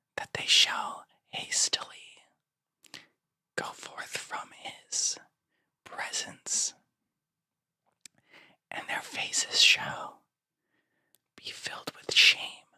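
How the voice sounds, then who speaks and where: Whispering at a very slow pace, a man leaves long, frequent pauses. His loudness swings widely. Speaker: ASMR and gospel reader. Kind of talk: scripture reading. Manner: whispered, soft-spoken.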